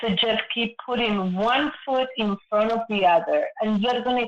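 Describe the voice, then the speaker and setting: The voice has a Spanish accent. It moves at a moderate pace. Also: woman. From Argentina, Buenos Aires. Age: 60s. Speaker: guest sharing personal story. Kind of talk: casual interview conversation.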